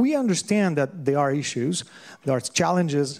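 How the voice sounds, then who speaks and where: A man talks with a French accent at a moderate pace. His pitch varies in an ordinary way. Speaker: lecturer on systems thinking. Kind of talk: lecture. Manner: halting.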